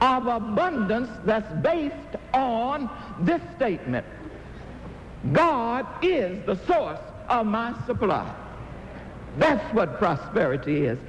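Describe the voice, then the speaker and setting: The speech moves at a very slow pace with long, frequent pauses, very wide pitch swings, and very even loudness. Music plays in the background. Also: man, extremely high pitch for a man. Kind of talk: inspirational sermon-style talk. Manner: emphatic, call-and-response preaching style.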